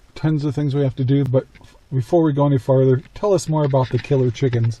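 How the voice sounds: At a fast pace, a man with a medium pitch and a dark, mellow tone keeps his intonation fairly even.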